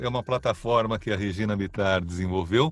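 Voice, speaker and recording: Somewhat breathy, a man talks at a moderate pace. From São Paulo city, Brazil. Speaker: voice-over artist. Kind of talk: interview. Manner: calm, relaxed.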